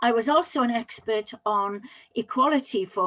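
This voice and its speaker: With a Welsh accent and ordinary pitch variation, a woman speaks in a very clean recording with a silent background and a dry, close sound with no echo. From Wales, Pembrokeshire. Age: 60s. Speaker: public speaking coach. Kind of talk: interview.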